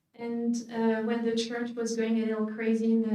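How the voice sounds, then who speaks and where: A woman with a French accent speaks at a moderate pace in a fairly high pitch. Her tone is dark and mellow, with audible room echo. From France, Paris. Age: 40s. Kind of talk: conference talk. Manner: hesitant with many fillers.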